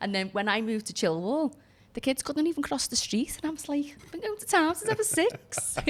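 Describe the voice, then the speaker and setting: A woman with a Liverpool accent talks at a fairly quick pace in a high voice, her pitch swinging very widely and her loudness rising and falling sharply over noticeable background noise. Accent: Scouse. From Liverpool, England (Kensington, North End). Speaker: former barrister, entrepreneur. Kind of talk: podcast interview.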